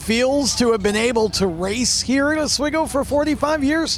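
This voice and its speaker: A man's extremely high-pitched voice with lively intonation at a moderate pace amid noticeable background noise. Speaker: motorsport interviewer. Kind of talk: pit-area interview questions. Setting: outdoors.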